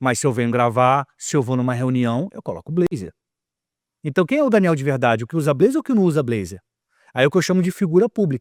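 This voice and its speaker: A man with a Rio de Janeiro accent at a fairly high pitch, very fast pace and very wide pitch swings. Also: dry, close sound with no echo, very clean recording, silent background. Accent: carioca. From Rio de Janeiro, Brazil. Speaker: communicator and author. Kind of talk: podcast interview. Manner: calm, measured pace; projected, placed voice.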